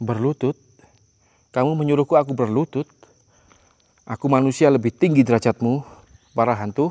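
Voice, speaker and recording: Medium-pitched male speech, fairly quick with long, frequent pauses and ordinary pitch variation, in a dry, close sound with no echo. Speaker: ghost hunting explorer vlogger. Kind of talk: solo exploration vlog narration. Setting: abandoned factory at night. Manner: loud.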